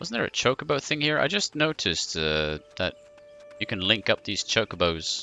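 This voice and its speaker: Very wide pitch swings at a moderate pace, with noticeable background noise. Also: man, medium pitch for a man. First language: not English. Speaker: game streamer. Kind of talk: casual gameplay commentary. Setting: live stream. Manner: hesitant, many fillers.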